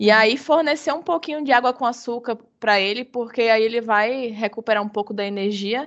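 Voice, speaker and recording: A woman speaks at a fairly quick pace with fairly high pitch and ordinary pitch variation. She has an ordinary speaking voice. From Bahia, Brazil. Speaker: biologist, hummingbird researcher. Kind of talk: casual interview.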